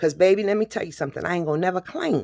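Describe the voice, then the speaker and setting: A woman's animated voice with vocal fry, dry and close with no echo, in a very clean recording with a silent background. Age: 50s. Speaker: vlogger. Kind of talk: personal testimony.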